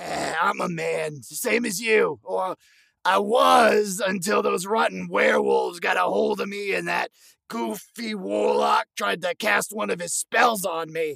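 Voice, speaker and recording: A man does a put-on character voice at a fairly slow pace. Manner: folksy, encouraging, wry.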